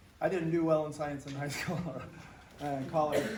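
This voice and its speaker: Audible room echo and noticeable background noise surround a man with a fairly high pitch who talks at a moderate pace. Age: 70s. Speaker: astronomy instructor and track coach. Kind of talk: casual storytelling to students on a field trip. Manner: animated, conversational.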